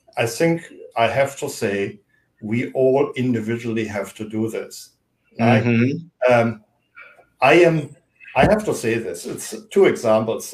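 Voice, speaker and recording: A somewhat breathy man with a German accent, medium pitch, long, frequent pauses. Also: ordinary pitch variation, fairly slow pace. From Germany. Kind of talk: interview discussion.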